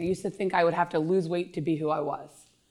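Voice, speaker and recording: On a very clean recording with a silent background, a woman with an American accent speaks in a normal speaking voice, fairly low in pitch with fairly even intonation. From Pennsylvania, King of Prussia area. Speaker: fitness coach. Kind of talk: casual interview.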